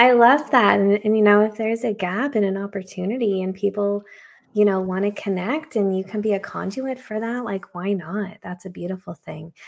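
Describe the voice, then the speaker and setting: A woman's normal speaking voice, medium in pitch, with fairly even intonation at a moderate pace. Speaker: creative consultant and graphic recorder. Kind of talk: casual interview chat.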